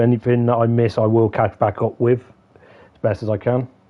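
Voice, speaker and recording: A man of medium pitch speaks in monotone, flat intonation with an English accent. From England. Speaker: gaming streamer. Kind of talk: casual chat. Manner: halting.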